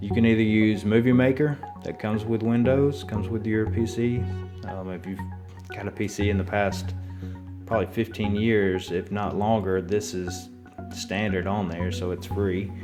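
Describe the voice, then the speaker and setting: With an Alabama accent, a man talks at a moderate pace in a fairly low pitch, his intonation fairly even, over music in the background. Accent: Southern US, Alabama. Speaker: actor. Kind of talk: casual tutorial talk to camera.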